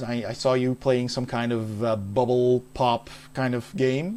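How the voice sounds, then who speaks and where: A man's voice at a medium pitch has a dark, mellow tone. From Netherlands, Maastricht. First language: Dutch. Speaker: game streamer. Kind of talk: casual chat. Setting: live stream.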